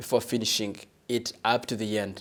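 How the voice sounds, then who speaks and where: A man's speech at a moderate pace. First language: not English. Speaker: TV talk show host. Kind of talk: panel discussion hosting. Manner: hesitant, many fillers.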